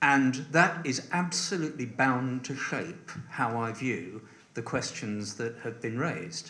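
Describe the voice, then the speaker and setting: Over noticeable background noise and with audible room echo, a man speaks fairly slowly with lively intonation. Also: medium pitch for a man. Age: 70s. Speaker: election candidate. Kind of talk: hustings answer. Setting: parish hall with audience.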